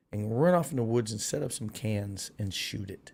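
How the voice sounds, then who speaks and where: A man speaks in an animated tone with lively intonation. His voice is somewhat breathy. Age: 60s. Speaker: political commentary streamer. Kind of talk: live stream monologue. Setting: live stream.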